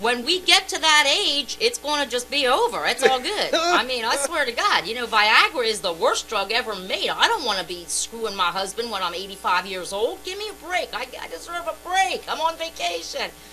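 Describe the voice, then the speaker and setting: A raised, projected voice swings very widely in pitch at a moderate pace with hardly any pauses. Music plays in the background. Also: woman. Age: 50s. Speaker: radio co-host. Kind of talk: heated debate. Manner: animated.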